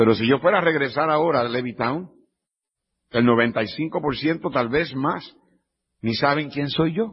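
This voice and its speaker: At a fairly slow pace, a man with a fairly high, somewhat breathy voice speaks with lively intonation. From Puerto Rico. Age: 50s. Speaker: pastor. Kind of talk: sermon. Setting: church.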